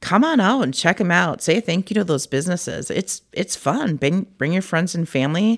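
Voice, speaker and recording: In a Minnesotan accent, a woman with a fairly low voice and lively intonation speaks on a very clean recording with a silent background and a dry, close sound with no echo. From Cannon Falls, Minnesota. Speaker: senior center recreation staff. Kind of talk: casual interview.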